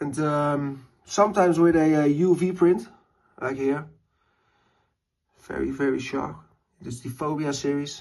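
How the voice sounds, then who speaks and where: A man with a Dutch accent speaks fairly slowly at a fairly high pitch, with long, frequent pauses. His intonation is fairly even, while his loudness swings a lot. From Netherlands. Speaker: lighter collector and maker. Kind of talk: collection show-and-tell. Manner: halting, many fillers.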